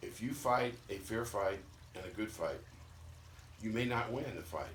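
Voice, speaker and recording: A man talks in a somewhat breathy voice, and the room's echo can be heard. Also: medium pitch for a man, ordinary pitch variation, moderate pace. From Missouri. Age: 70s. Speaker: retired former baseball player. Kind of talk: casual chat. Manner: blunt, emphatic.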